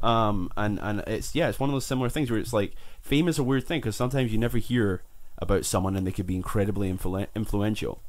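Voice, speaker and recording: A man with a Scottish accent speaks very fast in a fairly low voice, his pitch varying an ordinary amount. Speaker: podcast host. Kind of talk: casual chat. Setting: small room.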